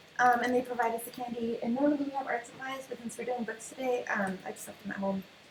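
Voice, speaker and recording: A woman's high-pitched voice with ordinary pitch variation, against noticeable background noise. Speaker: design meetup organizer. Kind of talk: casual presentation to a group. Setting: meeting room with live audience. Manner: fast; animated.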